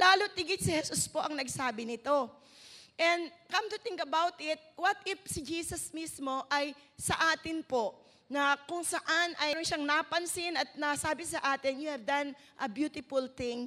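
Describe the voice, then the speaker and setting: Her voice raised and projected, a woman speaks at a fairly slow pace with a bright, sharp tone, a high pitch and ordinary pitch variation. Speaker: preacher. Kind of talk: sermon.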